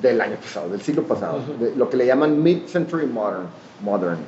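Very wide pitch swings in a man's speech, amid noticeable background noise. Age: 40s. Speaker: artist and architect. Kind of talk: casual interview.

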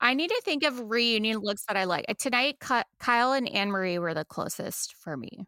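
With an American accent, a woman talks in a fairly high pitch with a bright, sharp tone, lively intonation and hardly any pauses, recorded very cleanly against a silent background with a dry, close sound and no echo. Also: moderate pace. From Texas. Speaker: podcast co-host. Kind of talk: casual chat.

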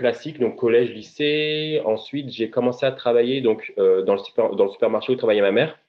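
Music in the background behind a man at medium pitch, moderate pace and ordinary pitch variation. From Paris suburbs, France. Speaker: consultant and author. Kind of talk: interview. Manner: halting, many repetitions.

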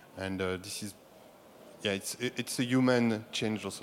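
The speaker has a French accent and fairly even intonation. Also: man. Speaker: sports broadcasting executive. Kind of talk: panel discussion. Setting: stage with audience.

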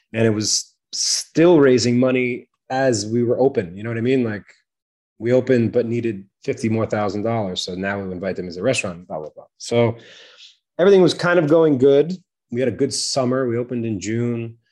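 Using a normal speaking voice with an American accent, a man talks at a fairly quick pace, medium pitch and lively intonation. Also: big swings in loudness. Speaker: chef and restaurateur. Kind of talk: casual interview.

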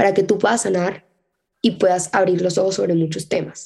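A woman's dark, mellow tone at medium pitch, with fairly even intonation. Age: 20s. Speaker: podcast host and law student. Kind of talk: casual solo monologue. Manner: fast, chatty.

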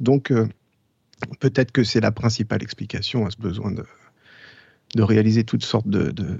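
The man's voice is fairly low-pitched and somewhat breathy, with fairly even intonation. He keeps a moderate pace broken by long, frequent pauses. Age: 40s. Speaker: jazz trumpeter. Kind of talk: casual interview. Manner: halting.

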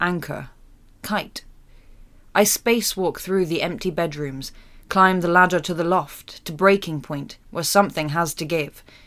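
A woman with an ordinary speaking voice talks at a fairly low pitch and fairly slow pace, her intonation fairly even, on a very clean recording with a silent background. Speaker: actor reading poem. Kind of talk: poetry reading. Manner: measured, expressive poetic delivery.

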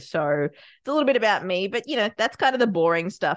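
The speaker has an Australian accent and very wide pitch swings. The background is quiet. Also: woman. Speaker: podcast producer and business owner. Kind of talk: interview.

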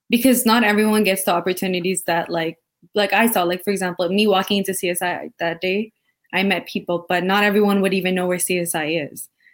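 A woman uses an ordinary speaking voice at a medium pitch with fairly even intonation and a fairly quick pace. The recording is very clean, with a silent background. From Canada, Sri Lankan family. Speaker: university student panelist. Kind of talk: live panel discussion. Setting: live recorded panel.

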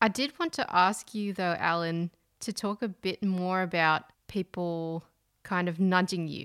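Speaking at a fairly slow pace, a woman has an unremarkable speaking voice with a medium pitch and ordinary pitch variation. The sound is dry and close with no echo, on a very clean recording with a silent background. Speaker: podcast host. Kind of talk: interview host.

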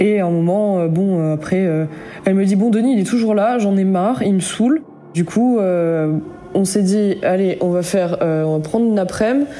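A woman's voice at medium pitch with ordinary pitch variation and a moderate pace, amid noticeable background noise and audible room echo. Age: 20s. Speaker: storyteller sharing paranormal experience. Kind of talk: personal testimony. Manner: hesitant, many fillers.

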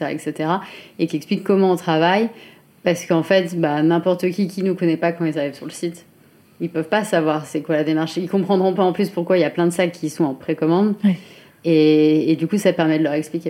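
Her pitch is fairly low for a woman, her intonation fairly even, and she speaks at a fairly quick pace. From France, Chartres area. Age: 30s. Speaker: fashion brand founder. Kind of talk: interview. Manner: hesitant, many fillers.

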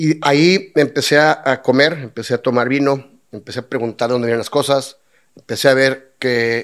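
A man's medium-pitched voice with a Mexican accent, fairly even intonation and a moderate pace. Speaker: lawyer turned brewer and restaurateur. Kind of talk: casual interview chat. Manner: halting, many repetitions.

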